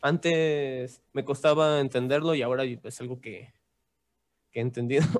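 A man with an unremarkable speaking voice talks fairly slowly at a medium pitch, keeping his intonation fairly even. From Mexico City. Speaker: musician. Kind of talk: casual chat.

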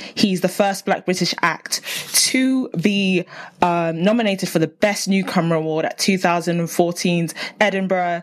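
A woman in a South London accent, medium-pitched, at a fairly slow pace. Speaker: podcast host and TV researcher. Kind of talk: casual interview. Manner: animated.

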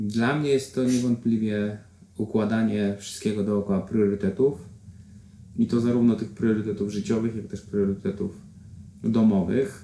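A moderate pace and fairly even intonation carry a dark, mellow tone. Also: man, fairly low pitch for a man. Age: 40s. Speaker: triathlete and corporate trainer. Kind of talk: interview.

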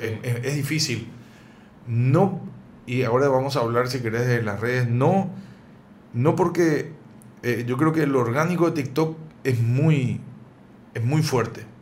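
A man's somewhat breathy, medium-pitched voice at a fairly slow pace, with ordinary pitch variation, long and frequent pauses, and audible room echo. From Paraguay, raised there after early childhood in Buenos Aires. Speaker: cook and video creator. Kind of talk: casual interview.

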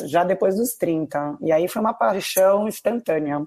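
A woman with a plain, everyday voice talks at a fairly slow pace, her pitch medium with ordinary pitch variation. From Brazil, São Paulo city. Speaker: tennis blogger, former finance worker. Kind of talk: casual interview.

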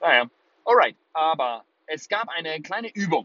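A man speaks in an animated tone, his pitch swinging very widely. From Germany, Würzburg (Lower Franconia). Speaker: podcast host and life coach. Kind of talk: motivational monologue. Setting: in a car.

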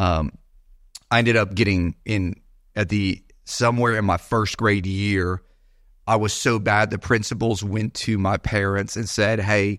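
A man with an American accent speaks at a fairly low pitch in a monotone, flat intonation. The recording is very clean, with a silent background. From Florida, Gulf Coast (Sarasota area). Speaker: pastor. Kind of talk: casual chat.

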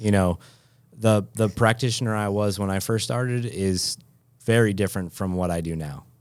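A man's ordinary speaking voice with an American accent, fairly low in pitch, at a moderate pace with ordinary pitch variation. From western Massachusetts, later eastern North Carolina. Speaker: physical therapist. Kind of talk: interview.

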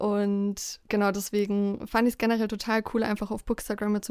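On a very clean recording with a silent background, a woman with a medium pitch speaks at a moderate pace with monotone, flat intonation. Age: 20s. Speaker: podcast co-host, student. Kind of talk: casual chat.

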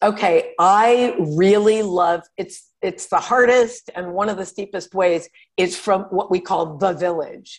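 A woman with an American accent talks at a fairly slow pace, hardly pausing at all. She has a plain, everyday voice, medium in pitch with ordinary pitch variation. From Connecticut, US. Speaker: outdoor writer and journalist. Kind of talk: casual interview chat.

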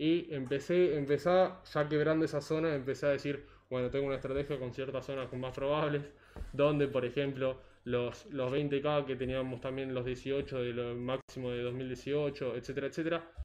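With a normal speaking voice, a man speaks at a fairly high pitch and a moderate pace, his intonation fairly even. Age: 20s. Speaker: economist and financial analyst. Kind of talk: casual interview.

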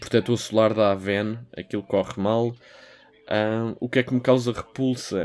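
This man has a European Portuguese accent and a medium pitch. He talks at a fairly slow pace with fairly even intonation, and background noise is noticeable. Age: 20s. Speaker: podcast host. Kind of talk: solo podcast monologue. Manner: casual, hesitant with fillers.

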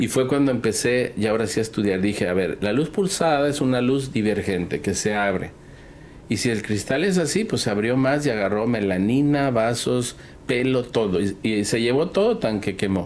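A man with a Mexican accent speaks at a moderate pace and medium pitch, his loudness very even, with audible room echo. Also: lively intonation. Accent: Mexican Spanish (Jalisco). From Mexico, Guadalajara (Jalisco). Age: 50s. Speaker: dermatologist. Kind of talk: casual interview chat. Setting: in person at a conference in Singapore.

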